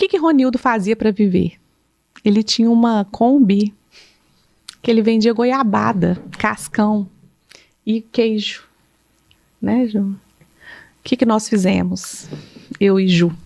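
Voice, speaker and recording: A woman speaks very slowly with long, frequent pauses, her voice fairly high. Her loudness stays very even, and her pitch varies in an ordinary way. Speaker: psychologist. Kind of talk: casual podcast conversation.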